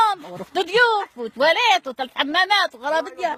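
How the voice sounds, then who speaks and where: A woman projects her raised voice at an extremely high pitch, swinging very widely in pitch while keeping a moderate pace. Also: dry, close sound with no echo. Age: 70s. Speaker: elderly woman interviewee. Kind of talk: casual chat, storytelling.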